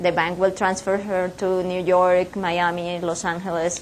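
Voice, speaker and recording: A woman with a Spanish accent at medium pitch and a moderate pace, with audible room echo. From Colombia and Ecuador. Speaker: business owner and speaker. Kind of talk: guest lecture. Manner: halting, many fillers.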